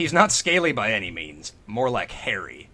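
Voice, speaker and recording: A man puts on a character voice at a fairly high pitch. He is loud and keeps a moderate pace. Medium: read story. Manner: blunt, loud.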